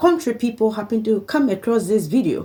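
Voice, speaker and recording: A dark, mellow tone carries this somewhat breathy voice. The delivery keeps a moderate pace. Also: woman. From Liberia. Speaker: vlogger. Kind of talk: personal appeal monologue. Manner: halting.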